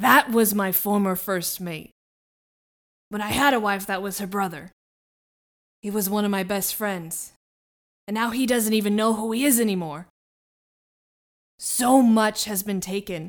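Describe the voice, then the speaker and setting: In a put-on, growling character voice at medium pitch, a woman speaks at a moderate pace with long, frequent pauses. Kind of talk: gruff pirate-style sea captain voice. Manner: gruff, commanding, archaic "ye" speech.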